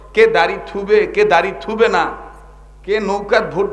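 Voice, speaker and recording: A man's high-pitched voice carries lively intonation against noticeable background noise. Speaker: Islamic preacher. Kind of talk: waz sermon to a live crowd. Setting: live outdoor gathering with microphone and PA. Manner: loud, call-and-response, conversational, humorous.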